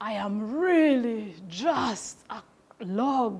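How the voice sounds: This is a put-on character voice. It sounds female, with a fairly high pitch.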